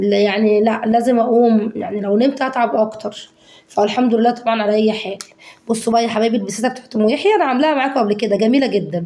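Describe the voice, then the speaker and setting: This woman rushes along at a very fast pace in a fairly high pitch, with noticeable background noise in the recording. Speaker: home cooking vlogger. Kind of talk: casual cooking tutorial. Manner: animated.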